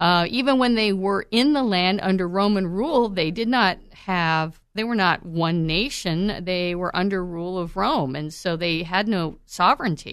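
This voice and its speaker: A woman with a plain, everyday voice of medium pitch talks at a moderate pace with ordinary pitch variation and hardly any pauses. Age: 50s. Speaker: Bible teacher and podcast host. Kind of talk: Bible teaching monologue. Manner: conversational with filler words.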